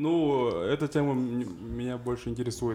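A man speaks at a medium pitch in a dark, mellow tone. His intonation stays fairly even. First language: Kazakh (speaking Russian). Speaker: blogger, TikToker. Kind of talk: casual chat.

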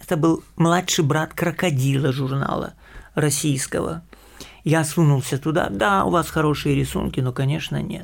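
At a moderate pace, the speaker uses an unremarkable speaking voice with ordinary pitch variation. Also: man, fairly high pitch for a man. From Ukraine, Kyiv. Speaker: animation director. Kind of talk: interview.

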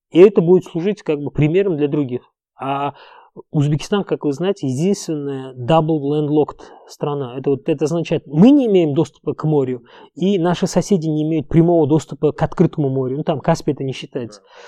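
A man's fairly high voice with a dark, mellow tone and an Uzbek accent, fairly quick and with ordinary pitch variation, dry and close with no echo against a quiet background. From Uzbekistan. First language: Uzbek (speaking Russian). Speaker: entrepreneur. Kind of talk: interview.

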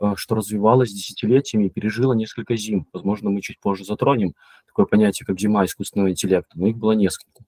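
This man speaks very fast at a fairly low pitch, with ordinary pitch variation. His tone is dark and mellow, and the sound is dry and close with no echo. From Belarus, Mogilev region. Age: 30s. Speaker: machine learning engineer. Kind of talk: casual interview.

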